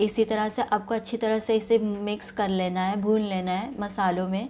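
A woman's medium-pitched, slightly mellow voice at a moderate pace, with little pitch movement.

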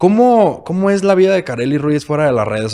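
A man's lively intonation rides on a fairly quick pace of speech. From Mexico. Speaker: podcast host. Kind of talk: casual interview. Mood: relaxed, friendly, smiling. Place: studio. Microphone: studio mic.

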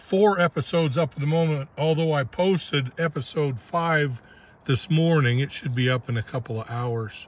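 Speaking at a moderate pace with ordinary pitch variation, a man sounds somewhat breathy in a dry recording with no echo. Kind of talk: casual vlog chat. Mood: relaxed, content. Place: open country. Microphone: phone near.

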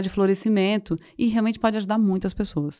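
A dark, mellow female voice in a quiet setting. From rural Goiás, Brazil. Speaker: somatic therapist; podcast guest. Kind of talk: interview. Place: studio. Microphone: studio mic.

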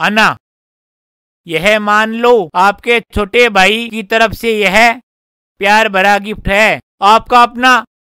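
A man uses a raised, projected voice with a bright, sharp tone at a very slow pace. His intonation is monotone and flat, the sound is dry with no echo, and the background is quiet. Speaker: actor in comedy skit. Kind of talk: scripted comedic dialogue, reading a letter. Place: open country.

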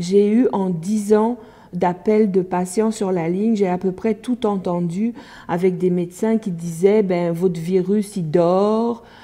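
Against a quiet background, a woman with a dark, mellow tone and medium pitch speaks at a very slow pace with fairly even intonation. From France. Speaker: hepatitis C helpline worker. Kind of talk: documentary interview. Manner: hesitant, with many fillers. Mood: earnest, concerned. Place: office.

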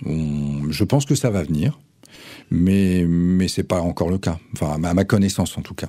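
Here a man speaks at a very deep, low pitch in a dark, mellow tone. His pitch varies in an ordinary way against a quiet background. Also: moderate pace. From France, Nantes; France. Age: 50s. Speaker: cultural venue director; radio guest. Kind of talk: radio interview. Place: studio. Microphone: studio mic.

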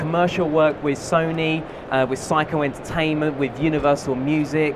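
A man at a moderate pace, fairly even in intonation, against noticeable background noise. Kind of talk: live product demonstration. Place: hall. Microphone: headset.

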